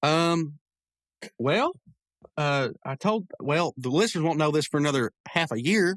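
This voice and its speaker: Over a very clean, silent background with a dry, close sound and no echo, a man speaks at a fairly slow pace in a fairly high voice, with ordinary pitch variation and long, frequent pauses. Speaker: podcast host. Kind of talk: casual chat. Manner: stumbling over words.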